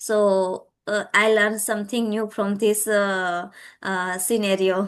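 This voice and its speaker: A woman with a Gujarati accent at a very slow pace, medium pitch and monotone, flat intonation, against a quiet background. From Gujarat, India. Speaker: English learner, YouTuber and tutor. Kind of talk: casual conversation practice. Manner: halting, many fillers.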